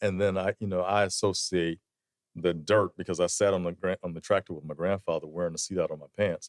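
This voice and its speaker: A man with a South Carolina accent, very deep and low in pitch, monotone and flat, on a very clean recording with a silent background and a dry, close sound with no echo. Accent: US Southern (South Carolina). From South Carolina (Sumter, rural). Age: 50s. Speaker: leather goods entrepreneur and lobbyist. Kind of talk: casual interview chat.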